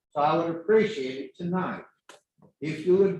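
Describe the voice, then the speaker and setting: An American accent from a man with a high pitch, fairly even intonation, and a fairly slow pace, in audible room echo. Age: 80s+. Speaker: local developer addressing the council. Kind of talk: public comment at council meeting. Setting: city council meeting.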